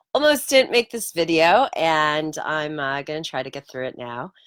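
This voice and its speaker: A woman at a moderate pace, with very wide pitch swings, in a dry, close sound with no echo. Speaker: Torah teacher. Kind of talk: video talk. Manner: casual.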